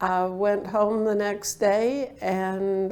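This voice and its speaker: A woman's dark, mellow tone at medium pitch, with fairly even intonation. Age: 70s. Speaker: patient. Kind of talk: testimony. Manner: hesitant with fillers.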